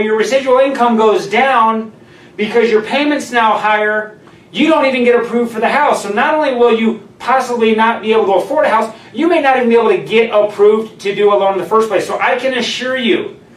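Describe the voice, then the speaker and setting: A man's extremely high-pitched voice at a fairly quick pace, with ordinary pitch variation and audible room echo. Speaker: mortgage lender video host. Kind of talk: live stream talk. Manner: loud.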